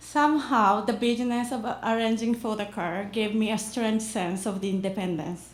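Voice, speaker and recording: With a Japanese accent and a fairly high, somewhat breathy voice, a woman talks at a moderate pace with hardly any pauses over audible room echo. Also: ordinary pitch variation. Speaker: immigrant storyteller. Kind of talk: reading aloud.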